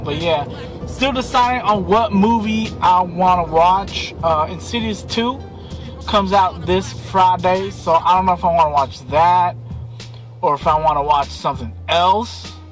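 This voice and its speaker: Faint music sits in the background while a man speaks at a fairly slow pace, the sound dry with no echo. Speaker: vlogger. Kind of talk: casual vlog chat. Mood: relaxed, lazy. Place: car. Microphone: phone near.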